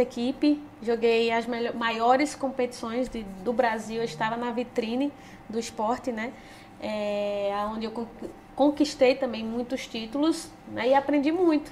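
A woman with a strong northeastern Brazilian accent, high-pitched, at a fairly slow pace with ordinary pitch variation. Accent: strong drawling northeastern Brazilian. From Petrolina, Pernambuco, Brazilian Northeast. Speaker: former futsal player, world champion. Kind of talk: casual interview.

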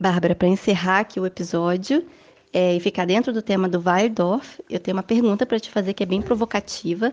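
A woman speaks in a normal speaking voice at medium pitch and a fairly quick pace, with ordinary pitch variation and a dry, close sound with no echo. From Brazil. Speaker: podcast host. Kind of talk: casual interview chat.

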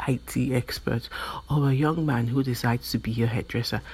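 A woman with a very deep, low pitch and vocal fry talks at a moderate pace with ordinary pitch variation. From Nigeria. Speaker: podcast host. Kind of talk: motivational monologue.

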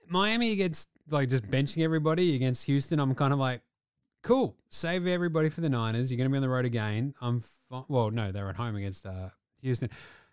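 Speaking very fast in an Australian accent, a man sounds animated with lively intonation on a very clean recording with a silent background. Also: medium pitch for a man. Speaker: sports podcast co-host. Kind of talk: casual chat. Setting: studio.

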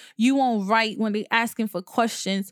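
This woman has a fairly high, monotone voice with flat intonation and talks at a moderate pace, and the very clean recording has a silent background and a dry, close sound with no echo. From Haitian heritage. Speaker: podcast host. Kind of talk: solo podcast monologue.

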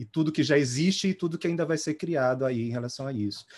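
A fairly high-pitched male voice with ordinary pitch variation, on a very clean recording with a silent background. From Belém, Pará, then São Paulo from adolescence. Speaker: music therapist. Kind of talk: panel discussion. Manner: halting.

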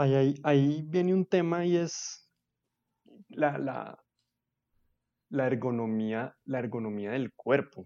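A fairly high-pitched man's voice with a dark, mellow tone, ordinary pitch variation, a very slow pace and long, frequent pauses. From Colombia, Bogotá. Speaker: podcast host. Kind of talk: casual chat.

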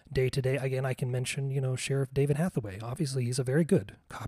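A man talks at a very fast pace in a dark, mellow tone that is somewhat breathy. The sound is dry and close, with no echo. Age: 40s. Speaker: podcast host. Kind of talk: solo monologue. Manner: halting.

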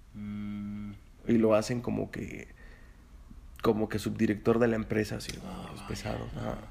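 With a Mexican accent, a man is talking. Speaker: podcast co-host. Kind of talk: casual chat.

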